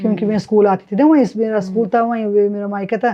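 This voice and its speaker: A woman speaks in a plain, everyday voice at medium pitch. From Himachal Pradesh. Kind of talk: interview answer.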